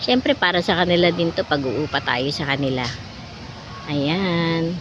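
Amid noticeable background noise, a woman speaks in a fairly low voice with ordinary pitch variation. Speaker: vlogger. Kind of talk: casual vlog narration. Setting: outdoors at water park. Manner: halting.

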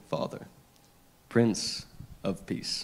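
The pace is fairly slow as a man talks. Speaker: scripture reader at a church service. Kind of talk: scripture reading. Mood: solemn, measured. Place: church. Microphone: handheld.

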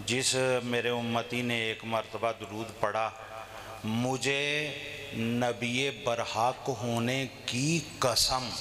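A man talks at a very slow pace, leaving long, frequent pauses. His intonation is monotone and flat, with light background noise behind him. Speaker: speaker. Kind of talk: sermon. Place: hall. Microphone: handheld.

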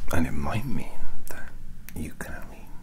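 Someone whispers at a very slow pace. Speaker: ASMR creator. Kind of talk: whispered ASMR roleplay. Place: home room. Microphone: studio mic.

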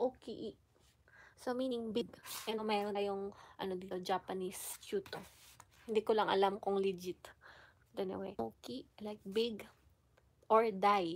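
A woman's fairly slow delivery with fairly even intonation and long, frequent pauses. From Philippines. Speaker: vlogger. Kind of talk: tutorial; casual chat. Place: home room. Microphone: phone near.

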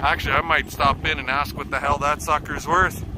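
Noticeable background noise is present, and the sound is dry with no echo. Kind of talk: casual vlog chat. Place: open country. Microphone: phone near.

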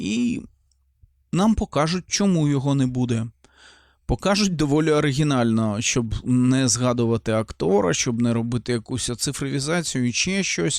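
Through a very clean recording with a silent background, a man speaks at a fairly slow pace. His medium pitch carries lively intonation, and his loudness stays very even. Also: dry, close sound with no echo. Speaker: film reviewer. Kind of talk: film review monologue. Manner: animated.

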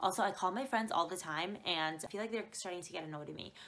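Talking at a very fast pace, a woman has a fairly low pitch, ordinary pitch variation and a bright, sharp tone. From Canada. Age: 20s. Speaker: YouTuber. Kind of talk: casual chat. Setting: video call. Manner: animated, giggly. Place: home room. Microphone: webcam.

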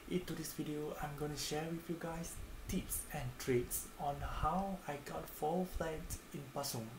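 Over noticeable background noise, a man talks fairly slowly with a fairly high pitch and fairly even intonation. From Malaysia. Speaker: student sharing study tips. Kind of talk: casual talk to camera. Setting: quiet home recording. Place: home room. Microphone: phone near.

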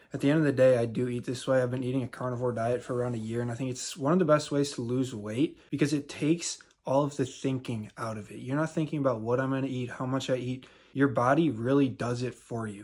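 Moving at a very fast pace with hardly any pauses, a man keeps a fairly even intonation. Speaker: fitness content creator. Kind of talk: casual vlog chat. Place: home room. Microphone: phone near.

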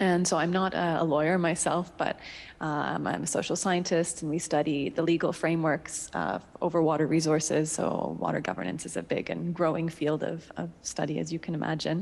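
With a Canadian accent and vocal fry, a woman speaks at a moderate pace in a very deep, low pitch and fairly even intonation. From Canada. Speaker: water policy researcher; guest. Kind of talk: panel discussion. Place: hall. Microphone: handheld.

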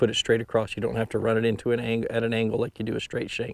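Here a man talks at a medium pitch, with vocal fry. His tone is slightly mellow.

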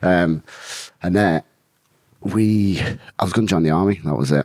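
A man with a northern English accent, ordinary pitch variation, and a dry, echo-free sound over a quiet background. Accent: mild Geordie-tinged northern English. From northern England. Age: 30s. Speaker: bare-knuckle fighter. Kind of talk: casual interview about life story. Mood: relaxed, laughing at times. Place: studio. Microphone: studio mic.

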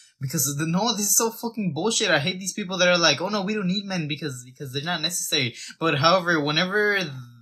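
A man with a bright, sharp tone at a very fast pace against a quiet background. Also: ordinary pitch variation. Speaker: fitness content creator. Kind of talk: opinion rant to camera. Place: home room. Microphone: phone near.

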